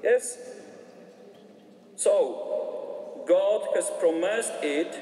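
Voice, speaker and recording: A man talks very slowly, with background noise plainly audible. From Poland. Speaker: priest. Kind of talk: talk to youth gathering. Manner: halting.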